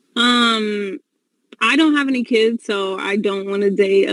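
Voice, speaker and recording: In an American accent, a woman with a medium pitch speaks in a dry, close sound with no echo. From US Midwest, Columbus, Ohio. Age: 20s. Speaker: dating show guest. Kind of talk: casual interview. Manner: hesitant, many fillers.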